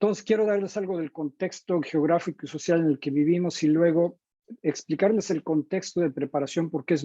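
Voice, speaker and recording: This man speaks at a moderate pace with a dark, mellow tone, his fairly high pitch moving with ordinary variation, in a dry, close recording with no echo. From Mexico. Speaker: teacher educator. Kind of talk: lecture. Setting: video call.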